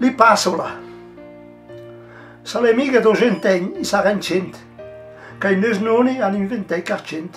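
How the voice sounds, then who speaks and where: A man's high pitch with ordinary pitch variation, a fairly slow pace and long, frequent pauses, over faint music in the background. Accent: Lombard. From Livigno, Italian Alps. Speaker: local elder poet. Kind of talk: poetry reading.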